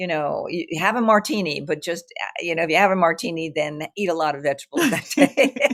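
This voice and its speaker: A woman with a New York accent, fairly low pitched and fairly quick, lively in intonation and animated in tone, with hardly any pauses. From New York City, Brooklyn. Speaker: artist and writer. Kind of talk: interview conversation.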